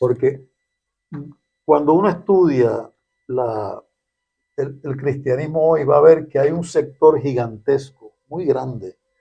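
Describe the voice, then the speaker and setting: Over music in the background, a man with a fairly high voice talks very slowly, with long, frequent pauses and ordinary pitch variation. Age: 70s. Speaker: podcast discussion guest. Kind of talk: conversational discussion.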